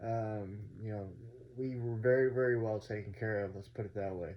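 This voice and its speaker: Fairly quick and somewhat breathy speech in an American accent. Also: man. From North Texas. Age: 30s. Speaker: vlogger sharing addiction recovery story. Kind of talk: personal testimony vlog. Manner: casual, many fillers (um, uh).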